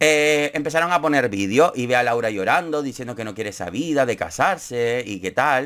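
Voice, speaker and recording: At a moderate pace and with hardly any pauses, an animated man with a Canarian accent speaks at medium pitch with lively intonation over a quiet background. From Canary Islands (Gran Canaria); Canary Islands. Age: 30s. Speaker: YouTuber, TV show commentator. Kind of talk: casual commentary vlog. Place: home room.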